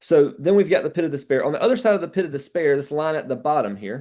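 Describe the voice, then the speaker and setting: In a quiet background, a man with a fairly high voice speaks with a dark, mellow tone and lively intonation. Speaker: sales trainer. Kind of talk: training call. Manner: fast.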